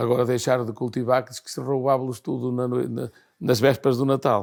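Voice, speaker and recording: Here a man talks with an ordinary speaking voice. His pitch is medium and his pace moderate. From Portugal, Outeiro near Viana do Castelo. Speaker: elderly interviewee. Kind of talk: documentary interview, reminiscing.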